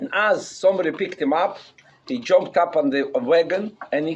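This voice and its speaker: Lively intonation marks this man's speech in a non-native accent. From Russia. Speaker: rabbi, keynote speaker. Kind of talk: speech to a gathering, storytelling.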